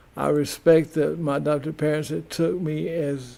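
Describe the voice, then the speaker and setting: A man with a Southern US accent at a fairly slow pace, over noticeable background noise. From US South. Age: 70s. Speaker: community TV host. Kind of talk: personal monologue. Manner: halting, many repetitions.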